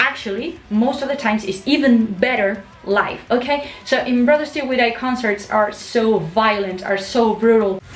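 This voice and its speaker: Over noticeable background noise, a woman with a Spanish accent speaks at a moderate pace, her pitch fairly high and varying in an ordinary way. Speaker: YouTuber, metal music commentator. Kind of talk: casual vlog monologue. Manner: halting, with fillers.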